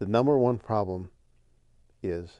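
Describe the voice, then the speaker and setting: Over a quiet background, a man with an American accent speaks in a dark, mellow tone with ordinary pitch variation. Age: 60s. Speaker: catechist. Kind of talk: interview.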